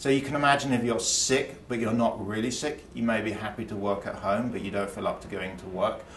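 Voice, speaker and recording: A man with an English accent talks at a fairly quick pace amid audible room echo and light background noise. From England. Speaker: economics professor. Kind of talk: explanatory interview talk. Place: studio.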